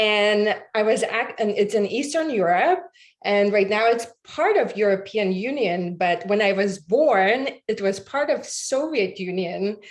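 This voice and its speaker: A woman with a Latvian accent speaks at a fairly slow pace in a fairly high pitch, her loudness very even throughout. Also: lively intonation. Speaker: podcast guest. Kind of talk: interview. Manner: halting.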